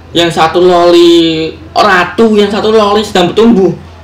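A man at a high pitch talks with fairly even intonation in a room with audible echo. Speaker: anime reactor. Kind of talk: casual reaction commentary. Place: home room.

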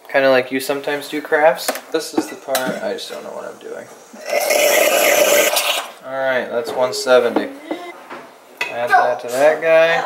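Through loud background noise, a man speaks at a moderate pace with long, frequent pauses. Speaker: dad vlogger. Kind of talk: casual vlog talk to camera. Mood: relaxed, playful. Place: kitchen. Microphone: phone near.

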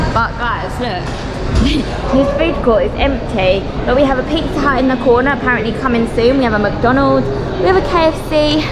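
A woman talks at a moderate pace with ordinary pitch variation. Music plays in the background. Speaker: travel vlogger. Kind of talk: casual vlog chat. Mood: cheerful, laughing. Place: hall. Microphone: phone near.

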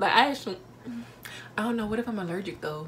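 Light background noise sits behind a woman speaking in an animated tone. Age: 19. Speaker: vlogger. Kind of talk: casual talk to camera. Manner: chatty, animated. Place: home room. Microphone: phone near.

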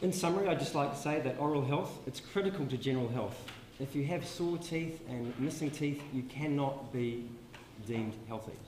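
With a New Zealand accent, a man talks at a moderate pace with ordinary pitch variation, with light background noise and audible room echo. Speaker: public health dentist; presenter. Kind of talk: conference talk. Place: hall. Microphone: handheld.

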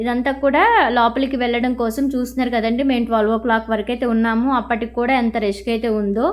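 Noticeable background noise sits behind a woman whose high pitch, fairly even intonation and very even loudness hold throughout. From Andhra Pradesh, Krishna district (Vuyyuru). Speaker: vlogger. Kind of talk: travel vlog narration. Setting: outdoors at a crowded temple fair. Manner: casual, conversational.

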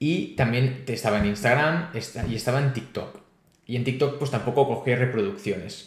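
Against a quiet background with audible room echo, a man speaks at a moderate pace in a somewhat breathy voice with ordinary pitch variation. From Spain, Barcelona. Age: 20s. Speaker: crypto youtuber and startup founder. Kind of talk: interview. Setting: video call. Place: home room. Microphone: earbuds.

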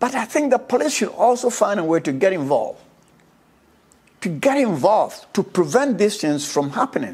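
A man with a high voice sounds animated, swinging his pitch very widely at a moderate pace. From Ghana. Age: 80s+. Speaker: social commentator. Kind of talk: monologue. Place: home room. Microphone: lapel.

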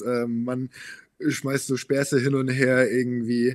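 A man at a medium pitch against a quiet background. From Bavaria, Munich; Bavaria. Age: 20s. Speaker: model, reality TV contestant; podcast guest. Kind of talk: interview. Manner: hesitant, many fillers. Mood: relaxed, slightly reflective. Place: studio. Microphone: studio mic.

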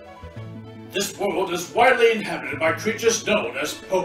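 Here is an unforced reading voice with ordinary pitch variation.

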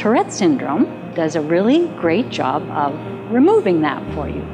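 A woman talks at a moderate pace. Clear music can be heard behind her. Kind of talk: documentary monologue. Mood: reflective, candid. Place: home room.

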